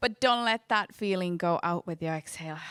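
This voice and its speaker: A woman speaks in a Finnish accent at a fairly high pitch, her tone bright and sharp. The sound is dry and close, with no echo. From Finland. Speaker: dance educator. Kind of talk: conference talk; guided movement exercise. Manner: slow.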